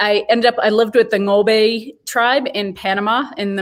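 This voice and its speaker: A woman with a Boston accent talks with fairly even intonation. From US, Boston. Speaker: head brewer and brewery director. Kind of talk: interview. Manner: hesitant, many fillers.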